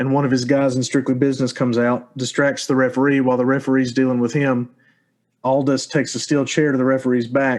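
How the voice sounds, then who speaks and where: A man's medium-pitched voice with an American accent, very fast, monotone and flat, at very even loudness over a quiet background. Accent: hillbilly. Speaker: podcast host. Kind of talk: casual chat.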